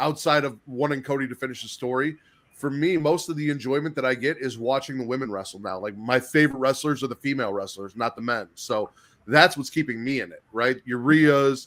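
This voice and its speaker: A man with an American accent speaks at a medium pitch and a fairly quick pace in a plain, everyday voice. The recording is very clean, with a silent background. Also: ordinary pitch variation. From Chicago area, US Midwest. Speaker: wrestling YouTube host. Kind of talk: casual chat.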